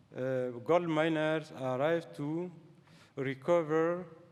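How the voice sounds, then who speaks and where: Fairly even intonation marks this speaker, who has a non-native accent. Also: man. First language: French. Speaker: scientist. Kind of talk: lecture. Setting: stage with audience. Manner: halting.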